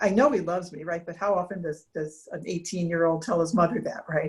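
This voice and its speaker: The woman's voice is somewhat breathy and sits at a medium pitch. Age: 50s. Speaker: cancer survivor, retired engineer. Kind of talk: interview. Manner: halting.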